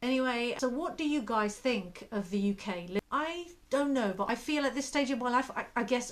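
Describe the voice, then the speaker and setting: This woman speaks with a British accent. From UK. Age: 50s. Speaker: lifestyle vlogger. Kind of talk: casual talk to camera.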